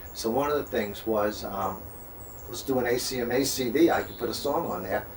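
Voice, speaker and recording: A man with a New York accent talks at a fairly quick clip, his pitch medium and its variation ordinary. Noticeable background noise and audible room echo are in the recording. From Long Island, New York. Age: 60s. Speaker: singer-songwriter. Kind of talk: interview.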